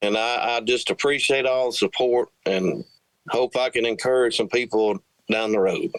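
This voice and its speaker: The speech has very even loudness and long, frequent pauses. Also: man, dry, close sound with no echo. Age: 40s. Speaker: country singer-songwriter. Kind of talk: interview.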